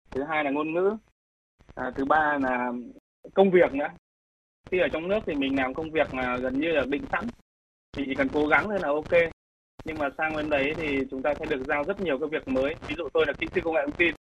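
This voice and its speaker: Long, frequent pauses break up a man's fairly quick, fairly high-pitched speech, his intonation fairly even. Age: 30s. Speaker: tech company founder. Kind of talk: radio interview.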